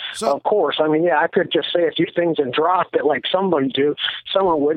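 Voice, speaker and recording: With a Midwestern accent, a man talks at a very fast pace in a high voice with fairly even intonation. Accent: Midwestern-sounding American. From Erie, Pennsylvania. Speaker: jiu-jitsu champion. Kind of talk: casual chat.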